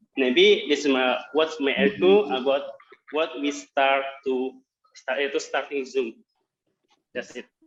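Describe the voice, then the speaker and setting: A man with a Javanese accent talks at a fairly slow pace and a fairly high pitch, leaving long, frequent pauses. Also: ordinary pitch variation. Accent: Indonesian (Javanese) English. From Central Java, Indonesia. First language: Indonesian. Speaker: workshop participant. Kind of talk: practice presentation. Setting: video call. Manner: halting.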